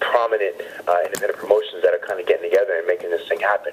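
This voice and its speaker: A man with noticeable background noise. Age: 30s. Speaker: pro wrestler. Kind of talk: interview. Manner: halting.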